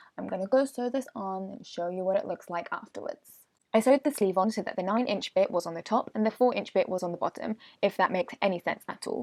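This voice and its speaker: Very fast and medium in pitch, a woman's speech shows ordinary pitch variation in a dry, close sound with no echo. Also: very clean recording, silent background. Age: 20s. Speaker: sewing vlogger. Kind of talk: tutorial voiceover.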